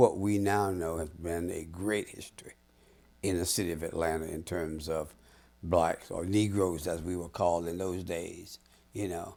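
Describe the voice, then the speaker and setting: A man with an American accent speaks at a fairly slow pace in a dark, mellow tone, using ordinary pitch variation. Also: very clean recording, silent background. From South Carolina. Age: 80s+. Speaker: retired professor and civic leader. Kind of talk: interview.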